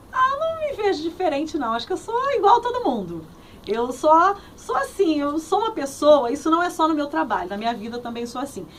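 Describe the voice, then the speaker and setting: A woman speaks at a fairly quick pace, high in pitch, with very wide swings up and down. Her tone is cheerful, and there is noticeable background noise. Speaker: radio host and journalist. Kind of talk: interview answer. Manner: cheerful, friendly.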